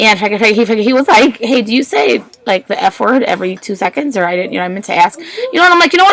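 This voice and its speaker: Over noticeable background noise, a woman speaks very fast with very wide pitch swings. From Puerto Rican background. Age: 30s. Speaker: vlogger with Tourette syndrome. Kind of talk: personal vlog monologue. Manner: vocal tics, repeated outbursts.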